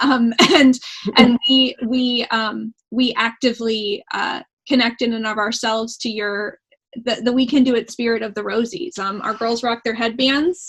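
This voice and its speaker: A woman with a plain, everyday voice, fairly high in pitch with fairly even intonation. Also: moderate pace. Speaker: interview host. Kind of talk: interview questions, casual.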